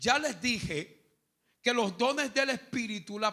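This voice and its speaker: A man speaks at a very slow pace. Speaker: pastor. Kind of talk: sermon teaching. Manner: calm, measured pace.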